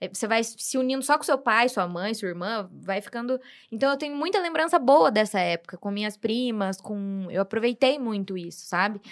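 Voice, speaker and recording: A woman's normal speaking voice, fairly high in pitch, with lively intonation, a moderate pace and hardly any pauses. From Brazil. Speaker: guest, host's sister. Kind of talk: casual chat.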